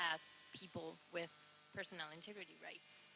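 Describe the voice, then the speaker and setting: A woman with a non-native accent and a fairly low voice speaks at a moderate pace. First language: not English. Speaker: audience member asking questions at academic colloquium. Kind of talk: Q&A question. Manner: halting, many fillers.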